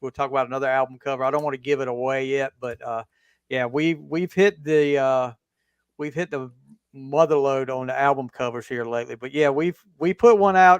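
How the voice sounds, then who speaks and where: With a Southern US accent, a man talks at a fairly quick pace. His pitch is fairly high. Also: ordinary pitch variation. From US South. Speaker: podcast host and football coach. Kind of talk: casual chat.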